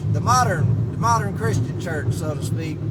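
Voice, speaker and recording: The speaker has an animated tone and a fairly slow pace. Audible room echo and noticeable background noise surround the voice. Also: man. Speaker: vlogger. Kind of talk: casual monologue. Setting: in a car. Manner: loud.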